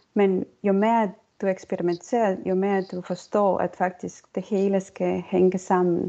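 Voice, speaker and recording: A woman with an Estonian accent talks at a very slow pace and medium pitch. Her intonation stays flat and monotone. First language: Estonian (speaking Danish). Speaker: circular economy consultant and lecturer. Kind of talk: interview. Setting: online recording.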